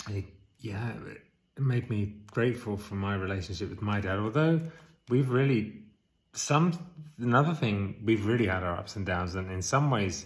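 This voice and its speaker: A man talks at a moderate pace in a fairly low, somewhat breathy voice with ordinary pitch variation. Audible room echo surrounds him. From England. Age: 40s. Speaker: vlogger. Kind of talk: casual vlog.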